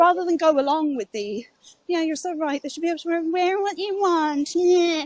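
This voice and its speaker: The speaker talks at a fairly quick pace with an English accent. The sound is dry and close, with no echo. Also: woman. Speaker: live audio room speaker. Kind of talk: casual chat. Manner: halting.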